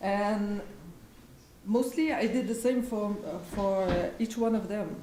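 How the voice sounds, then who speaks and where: Speaking very slowly in a French accent, a woman with a fairly high pitch and ordinary pitch variation is heard over noticeable background noise and audible room echo. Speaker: weaver and textile artisan. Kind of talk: presentation of craft process at live event. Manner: halting, many fillers and restarts.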